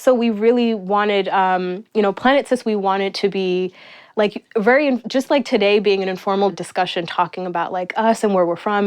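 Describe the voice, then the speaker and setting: She has a normal speaking voice at a medium pitch. Her pitch varies in an ordinary way. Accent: American. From New York City (Astoria, Queens). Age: 30s. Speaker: small business owner. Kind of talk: interview. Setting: in the host's apartment.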